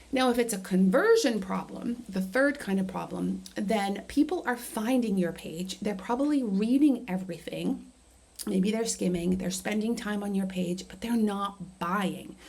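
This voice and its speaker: There is noticeable background noise behind this woman. She speaks at a fairly slow pace with medium pitch and ordinary pitch variation. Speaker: marketing coach. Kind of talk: tutorial. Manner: casual with fillers.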